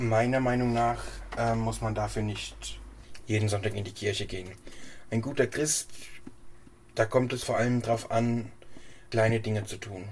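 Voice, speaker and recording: A man speaks at a moderate pace, leaving long, frequent pauses. His intonation stays monotone and flat. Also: medium pitch for a man. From Hesse, Germany. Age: 20s. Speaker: church council member. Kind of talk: interview.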